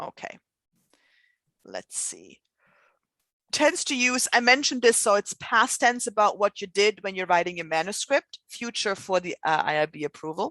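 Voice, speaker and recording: Speaking at a moderate pace with long, frequent pauses, a woman with a non-native accent uses lively intonation, a medium pitch and a bright, sharp tone. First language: not English. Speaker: scientific writing instructor. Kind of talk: lecture. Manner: conversational, with fillers.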